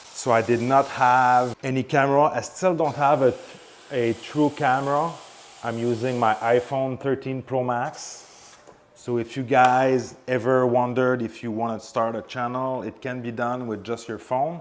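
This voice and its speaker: At a fairly slow pace, a man talks in a medium pitch with fairly even intonation. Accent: Quebec. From Quebec, Canada (Montreal). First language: French. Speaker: car detailing YouTuber. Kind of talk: tutorial with casual chat.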